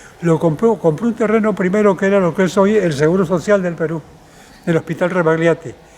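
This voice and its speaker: With ordinary pitch variation, the speaker talks at a fairly quick pace. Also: man, high pitch for a man. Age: 80s+. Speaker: cultural manager and historian. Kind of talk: interview.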